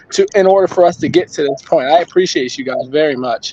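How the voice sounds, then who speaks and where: The pace is very fast, with ordinary pitch variation. Noticeable background noise is present. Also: man. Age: 20s. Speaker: family member. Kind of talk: family tribute speech.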